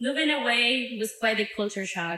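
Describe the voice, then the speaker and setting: A woman with a Spanish accent talks at a fairly slow pace. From Mexico. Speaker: former youth program intern. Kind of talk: speech.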